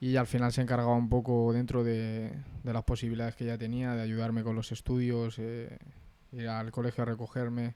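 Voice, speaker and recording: A man speaks at a fairly quick pace in a dark, mellow tone, his intonation monotone and flat. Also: medium pitch for a man. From Spain, Madrid. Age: 20s. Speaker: interviewee. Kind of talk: interview. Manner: halting, frequent repetitions.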